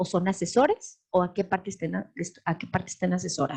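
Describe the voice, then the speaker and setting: A woman talks at a medium pitch in a somewhat breathy voice. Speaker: law lecturer. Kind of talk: lecture. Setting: live webinar.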